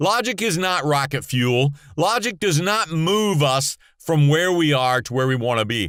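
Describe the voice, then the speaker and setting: Animated in tone, a man talks at a moderate pace with a fairly high pitch and very wide pitch swings. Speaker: motivational speaker and podcaster. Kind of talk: motivational monologue. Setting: podcast sound booth.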